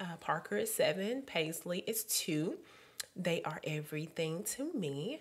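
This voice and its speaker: A woman with a Southern US accent, lively intonation and a fairly slow pace. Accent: country southern. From Alabama (Birmingham area). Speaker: podcast co-host. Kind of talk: casual chat. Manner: animated.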